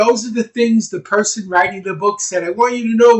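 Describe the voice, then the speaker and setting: A loud, animated man at a fairly quick pace, high in pitch. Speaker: speed reading teacher. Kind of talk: presentation on a video call.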